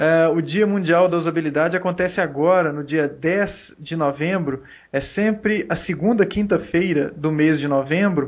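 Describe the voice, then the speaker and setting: Against a quiet background, a man with a Minas Gerais accent speaks in a high pitch at a moderate pace, with fairly even intonation and hardly any pauses. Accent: Minas Gerais (mineiro). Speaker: podcast host. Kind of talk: casual podcast chat.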